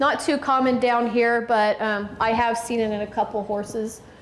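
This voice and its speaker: Flat, monotone speech from a woman with a fairly high pitch, amid noticeable background noise and audible room echo. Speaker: veterinarian. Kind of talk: lecture.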